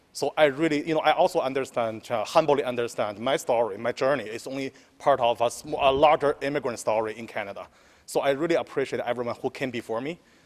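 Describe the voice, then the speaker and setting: Speaking very fast, a man talks with a Chinese accent. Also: medium pitch for a man, ordinary pitch variation. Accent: Mandarin Chinese accent in English. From mainland China. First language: Mandarin. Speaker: newly elected city councillor. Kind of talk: press scrum answer.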